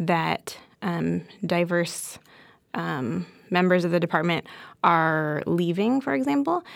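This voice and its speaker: Lively intonation colors this woman's fairly low-pitched voice. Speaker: podcast host, pediatric rheumatologist.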